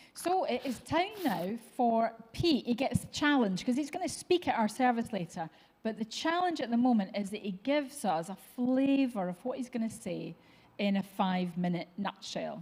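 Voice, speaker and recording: A woman with a Scottish accent, fairly high-pitched, with very wide pitch swings at a moderate pace. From Scotland, East Kilbride near Glasgow. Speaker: church show host. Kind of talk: casual chat.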